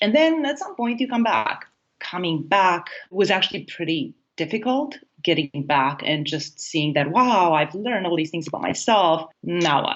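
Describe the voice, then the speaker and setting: Speaking at a moderate pace, a woman talks with a Romanian accent. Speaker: happiness coach. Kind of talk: interview.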